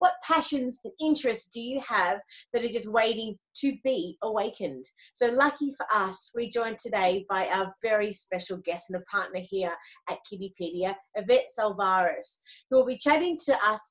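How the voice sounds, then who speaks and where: A woman's lively, up-and-down delivery at a moderate pace over a quiet background. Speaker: podcast host. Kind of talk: show introduction. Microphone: video call.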